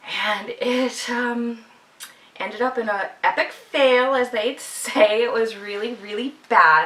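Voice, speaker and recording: Ordinary pitch variation at a very slow pace, with noticeable background noise. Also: woman, high pitch for a woman. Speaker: podcast host, knitter. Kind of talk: casual video podcast monologue. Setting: at home, video podcast.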